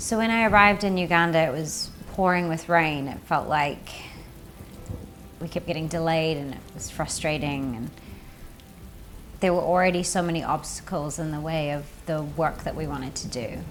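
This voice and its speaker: A woman with a New Zealand accent speaks in a very deep, low voice at a moderate pace, with ordinary pitch variation. Long, frequent pauses break her speech, and room echo is audible. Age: 30s. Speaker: actress and presenter. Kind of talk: documentary narration.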